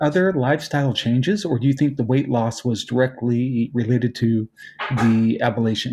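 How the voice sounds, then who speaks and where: Moderate pace and very even loudness, with ordinary pitch variation over music in the background. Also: man, medium pitch for a man. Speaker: podcast host. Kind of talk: podcast interview.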